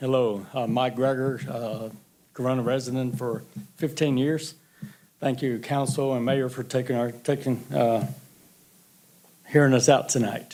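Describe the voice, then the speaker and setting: A man's medium-pitched, monotone, flat voice at a fairly slow pace with long, frequent pauses, plus noticeable background noise and audible room echo. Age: 60s. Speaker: public commenter, youth sports coach. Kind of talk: public comment at council meeting. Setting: city council chamber.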